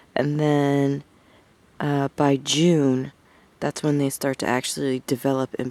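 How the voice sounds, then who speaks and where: A woman speaks with a very deep, low voice and a dark, mellow tone. Her intonation is monotone and flat, and the sound is dry and close with no echo. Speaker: vlogger. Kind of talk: casual vlog narration. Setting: outdoors.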